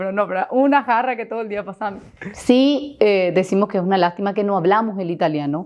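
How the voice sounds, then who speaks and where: Speaking very fast in a Paraguayan accent, a woman holds a medium pitch with ordinary pitch variation. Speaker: business owner. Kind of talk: podcast interview.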